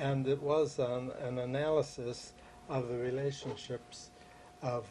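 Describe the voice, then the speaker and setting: With an American accent, a man at a medium pitch speaks at a fairly slow pace with fairly even intonation over noticeable background noise. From US Northeast (New Jersey, Philadelphia area). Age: 70s. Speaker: retired criminology professor. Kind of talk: oral history interview. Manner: halting, frequent fillers.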